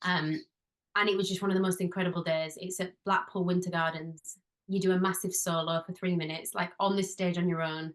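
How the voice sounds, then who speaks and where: With a strong Yorkshire accent, a woman of medium pitch talks at a fairly quick pace, her loudness very even and her intonation monotone and flat. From northern England, Halifax, West Yorkshire. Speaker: musical theatre performer and dance teacher. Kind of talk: podcast interview.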